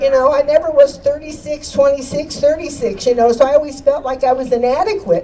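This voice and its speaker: Noticeable background noise sits behind a woman with a high pitch and ordinary pitch variation. She talks fairly quickly with hardly any pauses. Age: 80s+. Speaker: activist and radio host. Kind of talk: rally speech. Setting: outdoor rally with crowd. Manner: animated.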